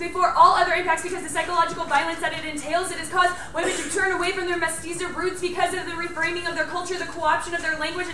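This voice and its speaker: Amid light background noise and audible room echo, a woman speaks at a very fast pace in a raised, projected voice. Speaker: college debater. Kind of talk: fast competitive debate speech. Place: classroom. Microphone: camera far.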